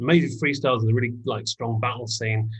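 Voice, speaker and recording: Somewhat breathy, a man speaks at a fairly quick pace and medium pitch. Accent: English. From England. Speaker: hip hop artist. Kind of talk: podcast interview answer.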